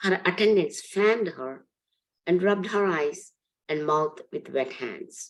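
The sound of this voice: A woman talks at a slow pace with lively intonation. Her pitch sits fairly low.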